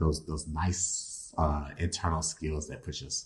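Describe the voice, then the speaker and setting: A man mumbles in a very deep, low voice. He sounds somewhat breathy, with fairly even intonation. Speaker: tarot reader. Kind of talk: tarot reading. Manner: mumbling.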